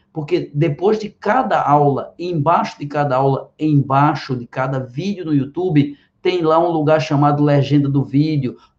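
A man speaks in an ordinary speaking voice, fairly high-pitched for a man. His pace is fairly slow, with ordinary pitch variation. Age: 50s. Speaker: biology teacher and physician. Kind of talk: direct-to-camera explanation.

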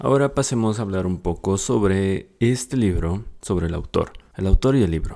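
Speaking with a Mexican accent at a fairly slow pace, a man has a fairly low pitch, a dark, mellow tone and ordinary pitch variation, on a very clean recording with a silent background. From Mexico. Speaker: book podcast host. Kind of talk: book summary monologue.

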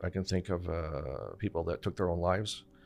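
A man's very deep, low voice with a Montreal accent and fairly even intonation, on a very clean recording with a silent background. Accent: Anglo-Montreal Canadian English. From Montreal's West Island, Quebec. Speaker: portfolio manager. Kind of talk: casual chat.

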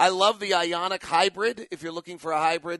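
Bright and sharp, a man's high voice comes across with an upbeat tone in a dry, close sound with no echo. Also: quiet background. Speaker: radio play-by-play announcer and podcast host. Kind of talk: infomercial-style ad read, personal car-buying testimonial. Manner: upbeat, conversational salesman-like enthusiasm, listing perks; casual, chatty, animated.

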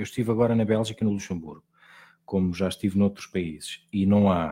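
Very clean recording and silent background for a man's fairly low, dark, mellow voice with fairly even intonation. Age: 30s. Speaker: TV reporter. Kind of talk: interview.

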